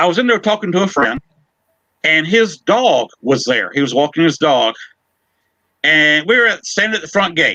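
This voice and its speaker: Pausing long and often, a man speaks at a high pitch with a bright, sharp tone, lively intonation and very even loudness. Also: moderate pace. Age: 60s. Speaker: paranormal investigator. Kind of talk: casual chat. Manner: halting. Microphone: audio issues.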